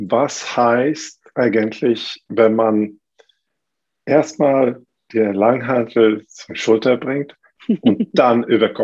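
A man with a Swedish accent talks at a very slow pace, leaving long, frequent pauses. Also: medium pitch for a man, fairly even intonation. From Sweden. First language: Swedish (speaking German). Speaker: fitness coach and gym owner. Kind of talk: casual chat. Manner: halting, many fillers.

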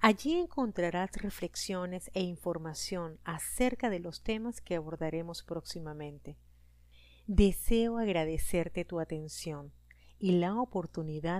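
On a very clean recording with a silent background, a woman with a plain, everyday voice speaks at a fairly slow pace, her fairly low pitch showing ordinary variation. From Venezuela. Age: 40s. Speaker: podcast host and life coach. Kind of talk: scripted podcast monologue.

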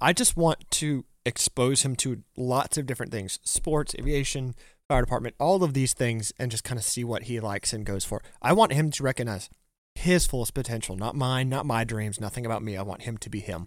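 Here is a man with a plain, everyday voice and a medium pitch, showing ordinary pitch variation. He moves at a fairly quick pace in a very clean recording with a silent background. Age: 20s. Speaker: firefighter and EMT. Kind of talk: casual chat.

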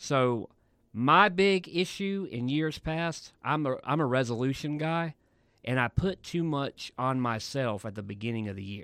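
A man with an unremarkable speaking voice and lively intonation. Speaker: podcast co-host. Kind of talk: casual chat. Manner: joking, bantering.

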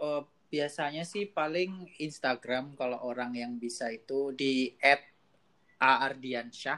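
Very slow male speech with a bright, sharp tone and ordinary pitch variation. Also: medium pitch for a man. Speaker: PhD student in mathematics. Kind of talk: casual interview. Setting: video call.

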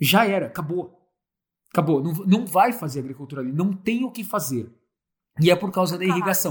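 Lively intonation at a fairly quick pace, broken by long, frequent pauses. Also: man. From Brazil, Santo André (São Paulo). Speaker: agroforestry entrepreneur. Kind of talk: casual chat.

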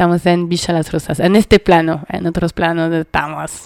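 Her voice is fairly low and flat, with monotone intonation. The woman talks at a moderate pace in a dry, close sound with no echo. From France, Paris. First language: French (speaking Spanish). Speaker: community radio host. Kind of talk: radio music show chat.

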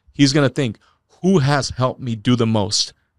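A man with an American accent and an unremarkable speaking voice, moderate in pace with ordinary pitch variation, in a very clean, silent recording with dry, close sound and no echo. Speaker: sales leader / guest. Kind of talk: interview conversation.

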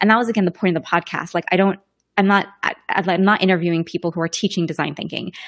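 A woman with an American accent, medium pitch and fairly even intonation. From London, then California from age 10. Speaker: podcaster and design thinking professional. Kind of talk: casual interview. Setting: live-streamed remote recording via browser.

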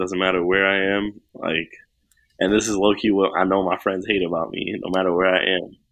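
A man with a New York accent, very deep and low in pitch, flat and monotone at a fairly quick pace. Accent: New York City. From Queens, New York. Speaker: rapper. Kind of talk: casual chat.

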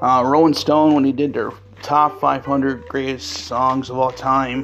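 Noticeable background noise runs under a man's voice. His intonation is fairly even. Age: 40s. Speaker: podcast host. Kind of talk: solo monologue on pop culture history. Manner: halting, many fillers.

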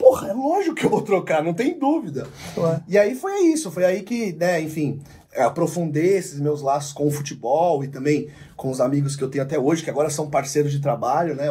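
Noticeable background noise sits behind a man at a fairly high pitch. He talks at a fairly quick pace with lively intonation. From Ribeirão Preto, São Paulo state, Brazil. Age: 30s. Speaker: sports journalist. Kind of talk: casual chat.

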